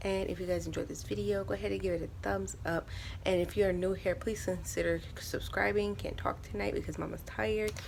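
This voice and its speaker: Over audible room echo, a soft-spoken woman talks at a fairly quick pace. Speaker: stay-at-home mom vlogger. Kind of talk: casual vlog talk. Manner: soft-spoken, talking low.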